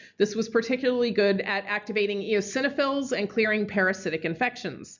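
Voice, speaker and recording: Pitched fairly high, a woman uses an ordinary speaking voice with ordinary pitch variation. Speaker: university biology lecturer. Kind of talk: lecture.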